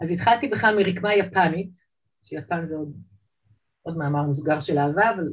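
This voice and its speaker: Somewhat breathy and fairly low-pitched, a woman speaks at a moderate pace with ordinary pitch variation and long, frequent pauses. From Israel, Jerusalem (born in Saint Petersburg, immigrated 1978 as a child). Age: 50s. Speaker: artist. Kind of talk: interview. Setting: video call.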